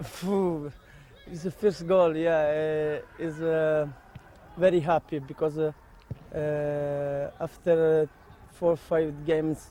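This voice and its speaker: In an Italian accent, a man with a fairly high pitch speaks very slowly and in a monotone, flat way, with long, frequent pauses. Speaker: footballer. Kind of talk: interview. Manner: halting.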